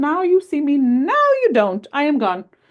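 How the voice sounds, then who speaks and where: The speaker puts on a character voice. The delivery keeps to a moderate pace. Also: woman, high pitch for a woman. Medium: read story. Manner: polite, genteel.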